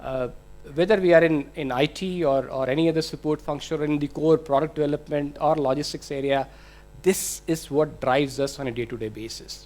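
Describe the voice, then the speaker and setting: A man with an Indian accent, fairly high pitch, fairly even intonation and a fairly quick pace. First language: Hindi. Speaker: IT manager. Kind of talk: conference presentation. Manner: hesitant, many fillers.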